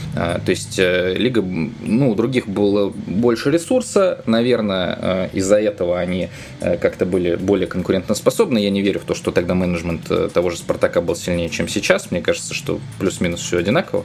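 A man at a fairly low pitch, ordinary pitch variation and a moderate pace, with noticeable background noise. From Saint Petersburg, Russia. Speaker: football journalist. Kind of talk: casual chat.

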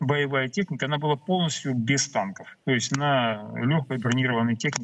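A man talks at a moderate pace in a normal speaking voice. His pitch sits in the medium range. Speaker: military expert. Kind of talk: live interview on TV. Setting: remote video link. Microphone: connection problems.

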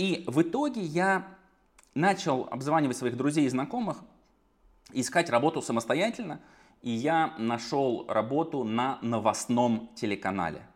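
At a moderate pace, a man speaks with lively intonation and long, frequent pauses. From Russia, Saratov. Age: 30s. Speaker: entrepreneur. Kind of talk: podcast interview. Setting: video call.

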